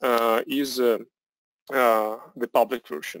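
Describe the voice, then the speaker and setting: A man speaks very slowly with a Russian accent. The recording is very clean and dry, with a close sound, no echo and a silent background. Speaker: software product presenter. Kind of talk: product demo presentation. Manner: halting, many fillers.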